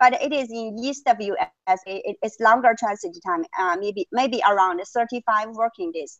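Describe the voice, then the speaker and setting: In a Chinese accent, a woman with a fairly high pitch speaks at a fairly slow pace, the sound dry with no echo and the background quiet. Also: ordinary pitch variation. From China. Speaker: freight forwarder guest; guest. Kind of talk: webinar presentation and interview. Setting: video call. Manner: halting. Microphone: earbuds.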